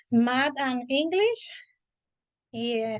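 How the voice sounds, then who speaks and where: Very slowly, a woman with a high pitch speaks in a Spanish accent. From Puerto Rico. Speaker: elementary school teacher. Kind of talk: casual chat. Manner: halting.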